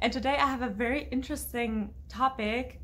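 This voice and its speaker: With a German accent, a woman speaks in fairly even intonation, her voice showing vocal fry. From Berlin, Germany. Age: 20s. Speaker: YouTuber. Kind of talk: casual talk to camera. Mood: cheerful, animated. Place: home room.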